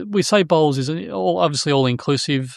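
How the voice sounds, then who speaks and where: Fairly high-pitched man at a moderate pace with lively intonation, on a very clean recording with a silent background and a dry, close sound with no echo. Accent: Australian. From Australia, New South Wales. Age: 50s. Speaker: joinery software businessman. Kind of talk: casual podcast interview. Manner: halting, many fillers.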